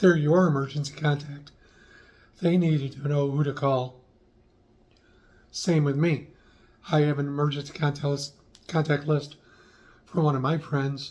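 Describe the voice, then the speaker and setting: The intonation is flat and monotone, at a moderate pace. Long pauses come often, and the voice is somewhat breathy. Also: man, fairly high pitch for a man. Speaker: lifestyle vlogger. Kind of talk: casual talk to camera.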